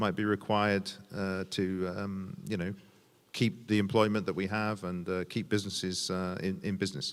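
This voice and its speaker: A man with a British accent, fairly low-pitched, at a moderate pace, in a flat monotone. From Britain. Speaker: journalist and panel moderator. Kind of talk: panel moderation. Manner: hesitant, many fillers.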